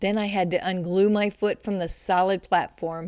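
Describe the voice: This is plain reading aloud. The intonation stays fairly even.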